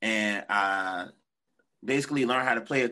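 With a Virginia Tidewater accent, a man speaks at a moderate pace and medium pitch, his bright, sharp tone showing ordinary pitch variation over a quiet background. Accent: Virginia Tidewater (757). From Norfolk, Virginia. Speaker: musician and band leader. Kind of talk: casual interview chat. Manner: casual, filler-heavy, slangy.

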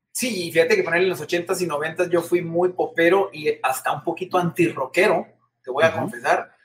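A man speaks very fast at a high pitch. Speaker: TV presenter and singer. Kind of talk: casual interview. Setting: video call.

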